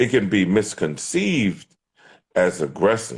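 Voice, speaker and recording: Very slowly, a man speaks at a fairly low pitch with vocal fry and very wide pitch swings. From West Philadelphia. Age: 40s. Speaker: dating show contestant. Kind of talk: heated debate. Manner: forceful.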